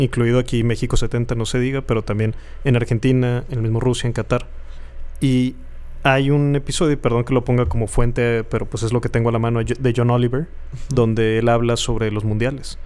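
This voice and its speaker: A man with monotone, flat intonation talks at a fairly quick pace and a medium pitch. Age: 30s. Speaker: podcast co-host. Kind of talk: casual chat.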